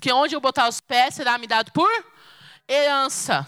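A woman speaks in a raised, projected voice at a fairly quick pace. Her tone is bright and sharp, and the sound is dry and close with no echo. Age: 20s. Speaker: preacher. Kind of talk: sermon.

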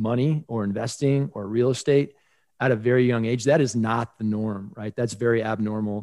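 A man with an American accent, medium pitch, ordinary pitch variation, and a moderate pace. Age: 40s. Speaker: high school personal finance teacher. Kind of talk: podcast interview.

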